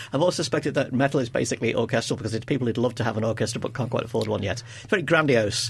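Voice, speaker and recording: A man speaks at a very fast pace with hardly any pauses. His voice is somewhat breathy. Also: medium pitch for a man, ordinary pitch variation. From Liverpool, England. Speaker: podcast host and music magazine editor. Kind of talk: casual chat.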